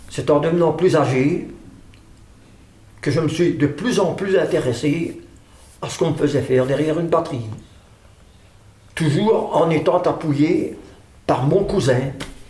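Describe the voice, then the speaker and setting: Over audible room echo, a man with a fairly high pitch speaks at a fairly slow pace, leaving long, frequent pauses. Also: ordinary pitch variation. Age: 80s+. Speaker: drummer. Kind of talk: interview testimony. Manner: halting.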